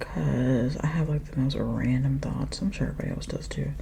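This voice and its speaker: A soft-spoken woman talks at a moderate pace. Noticeable background noise runs under her voice. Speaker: ASMR creator. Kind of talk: ASMR makeup rambling.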